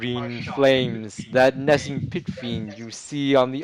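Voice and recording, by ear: A natural voice reading aloud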